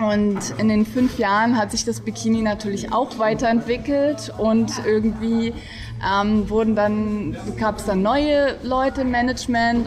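A woman's fairly high voice, fairly even in intonation and fairly slow in pace, against noticeable background noise. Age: 30s. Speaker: café owner. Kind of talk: interview.

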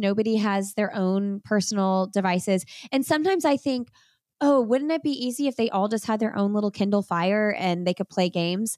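A woman with a Midwestern US accent talks at a fairly quick pace, her pitch medium and its variation ordinary. Her loudness stays very even, and the very clean recording is dry and close with no echo against a silent background. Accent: US Midwest. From Indiana, US Midwest. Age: 30s. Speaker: podcast host and running coach. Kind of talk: casual chat.

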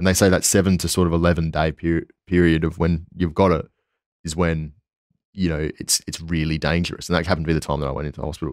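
In an Australian accent, the very fast speech stays monotone and flat on a very clean recording with a silent background. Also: man, very deep, low pitch for a man. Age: 20s. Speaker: PhD student. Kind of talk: casual interview. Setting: in person.

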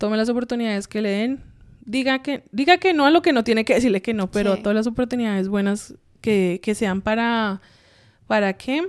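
A woman talks at a fairly quick pace in a normal speaking voice, her pitch fairly high, on a very clean recording with a silent background. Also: ordinary pitch variation. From Colombia. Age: 30s. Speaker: US Air Force officer. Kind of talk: casual interview.

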